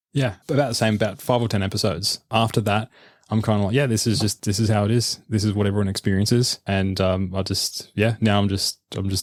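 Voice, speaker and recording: Very fast speech with fairly even intonation in an Australian accent, on a very clean recording with a silent background. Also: man, fairly low pitch for a man, dry, close sound with no echo. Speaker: researcher and podcaster. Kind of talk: casual interview conversation. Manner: repeats words, stammering starts.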